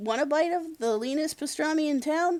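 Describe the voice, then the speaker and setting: This is a put-on character voice, high in pitch and squeaky. It moves at a moderate pace. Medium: read story.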